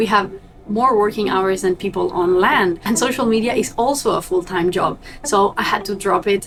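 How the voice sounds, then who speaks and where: Over noticeable background noise, a woman with a Spanish accent speaks at a moderate pace and medium pitch, with ordinary pitch variation and very even loudness. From Argentina. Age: young. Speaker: vlogger and cruise ship crew member. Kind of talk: vlog talking to camera.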